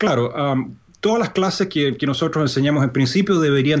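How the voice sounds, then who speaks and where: The speaker is a man with a Chilean accent. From Chile, Santiago. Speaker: programming instructor. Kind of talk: interview. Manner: hesitant, many fillers.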